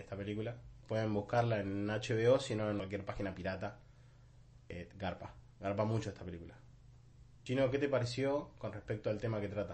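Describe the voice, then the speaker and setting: Speaking in a Rioplatense accent, a man with a somewhat breathy, fairly low voice moves at a moderate pace with ordinary pitch variation and long, frequent pauses. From Argentina, Buenos Aires south zone. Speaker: podcast host. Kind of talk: casual chat. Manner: animated. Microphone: new microphone.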